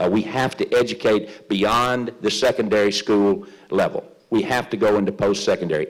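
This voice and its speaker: A man speaks with lively intonation. His loudness stays very even. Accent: West Tennessee. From Tennessee. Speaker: politician. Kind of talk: closing statement at candidate forum. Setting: public forum in a library with audience. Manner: halting, many fillers and repetitions.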